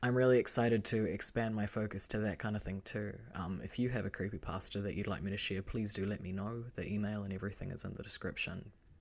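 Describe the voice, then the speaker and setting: Speaking at a fairly quick pace with a New Zealand accent, this voice comes through on a very clean recording with a silent background. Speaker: horror story narrator. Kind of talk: casual chat.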